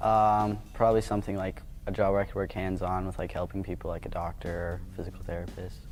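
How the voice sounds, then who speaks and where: The speaker rushes along at a very fast pace with hardly any pauses, in a monotone, flat intonation. Music plays in the background. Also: man, fairly low pitch for a man. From Colorado (Boulder). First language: Vietnamese. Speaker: college tennis player. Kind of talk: casual interview.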